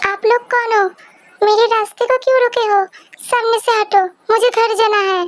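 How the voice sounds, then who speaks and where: A woman performs a put-on character voice at an extremely high pitch. She moves at a moderate pace with monotone, flat intonation. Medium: read story.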